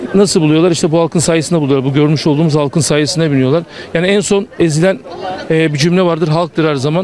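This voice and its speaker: A man with a fairly high voice talks very fast, with very even loudness and fairly even intonation. The sound is dry with no echo, and there is light background noise. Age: 40s. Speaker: passerby interviewed in street; interviewee. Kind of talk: street interview. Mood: critical, indignant political opinion. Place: street.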